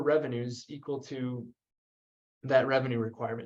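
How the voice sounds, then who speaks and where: A man's voice with a dark, mellow tone. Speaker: energy policy researcher. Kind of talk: webinar presentation.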